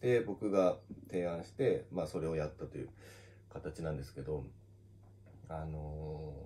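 A man talks in a dark, mellow tone at a moderate pace. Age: 30s. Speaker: manga artist. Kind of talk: casual solo talk on social audio. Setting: live audio stream on social media. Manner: casual, with many fillers. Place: office.

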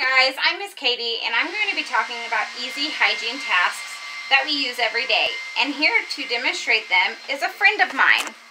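A woman talks at a moderate pace in a high voice, with noticeable background noise behind her. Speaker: teacher. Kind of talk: tutorial. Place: kitchen. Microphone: webcam.

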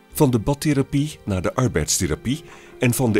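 Music in the background behind a man at medium pitch, fairly quick pace and very wide pitch swings. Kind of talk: documentary trailer narration.

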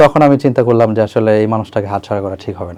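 A man speaks with very wide pitch swings. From Bangladesh, Bogura. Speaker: interviewee telling his love story. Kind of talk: personal testimony interview.

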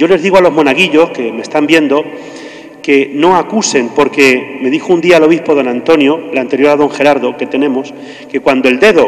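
A man's voice, fairly high in pitch, with ordinary pitch variation at a moderate pace over faint background noise.

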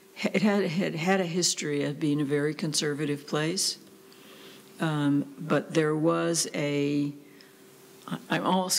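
A woman with a very deep, low voice talks at a fairly slow pace with fairly even intonation. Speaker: interviewee. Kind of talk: interview answer. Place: office. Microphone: studio mic.

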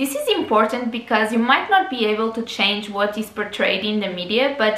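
Audible room echo surrounds a woman with a fairly high pitch. She talks at a moderate pace with fairly even intonation. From Portugal. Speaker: lifestyle YouTuber. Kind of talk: casual advice talk to camera. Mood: warm, encouraging. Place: home room.

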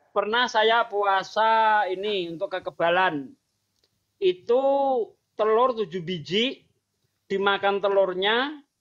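Against a quiet background, a man speaks in a high pitch with ordinary pitch variation. His pace is very slow, with long, frequent pauses. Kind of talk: casual chat. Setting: livestream video call. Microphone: video call.

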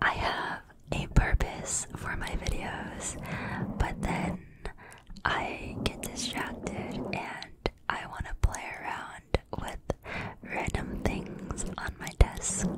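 The pace is very slow. A woman whispers the words. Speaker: ASMR creator. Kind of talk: ASMR brushing and whispering. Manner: whispered, soft-spoken. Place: home room. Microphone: studio mic.

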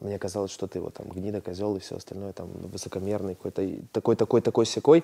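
Very fast and dark, mellow in tone, a man talks at a fairly low pitch with ordinary pitch variation and big swings in loudness. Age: 30s. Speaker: businessman and blogger; interview guest. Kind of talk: therapy session. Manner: hesitant with filler sounds. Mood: candid, reflective. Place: studio. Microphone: lapel.

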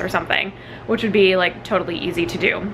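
A woman speaks at a very fast pace. Light background noise can be heard. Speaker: vlogger. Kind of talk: casual vlog chat. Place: kitchen. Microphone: phone near.

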